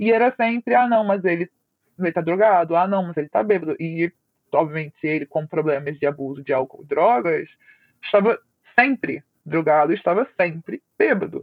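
A woman's fairly low voice with lively intonation, at a moderate pace. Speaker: former abuse victim sharing her story. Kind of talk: testimony.

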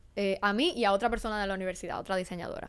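A woman's medium-pitched voice at a very fast pace, on a very clean recording with a silent background. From Dominican Republic, Santo Domingo. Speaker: aerospace design entrepreneur. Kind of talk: interview. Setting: studio.

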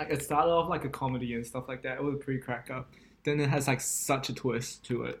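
Speaking at a very fast pace, a man uses a monotone, flat intonation at medium pitch, his voice somewhat breathy. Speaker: podcast co-host. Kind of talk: casual chat.

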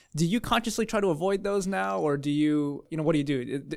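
Fairly high-pitched man with an American accent, fairly quick in pace, on a very clean recording with a silent background. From California. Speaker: pastor. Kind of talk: interview hosting. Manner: fast.

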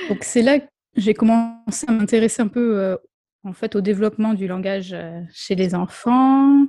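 Fairly slow in pace, this is an unremarkable speaking voice. Its pitch shows ordinary variation. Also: woman, fairly high pitch for a woman. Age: 30s. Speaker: speech therapist. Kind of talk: interview.

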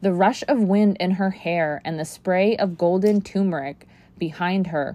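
The clip is a natural reading voice.

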